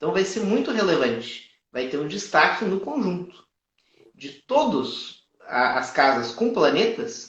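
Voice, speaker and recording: A man's high-pitched, fairly slow speech in a strong southern Brazilian accent, with very wide pitch swings. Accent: strong gaúcho (southern Brazilian). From Brazil, Rio Grande do Sul. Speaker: astrologer. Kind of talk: live astrology consultation and teaching. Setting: live stream.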